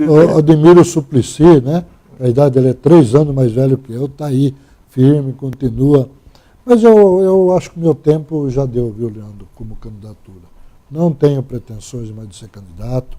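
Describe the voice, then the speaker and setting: A man with a fairly high pitch and a dark, mellow tone uses lively intonation. His loudness swings widely. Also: moderate pace. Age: 70s. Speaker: former mayor. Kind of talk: interview.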